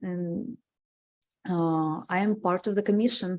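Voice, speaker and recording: Woman with a Russian accent, medium pitch and a dark, mellow tone, speaking at a very slow pace in a very clean recording with a silent background. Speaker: city commissioner. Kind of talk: self-introduction at public meeting. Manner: halting, many fillers.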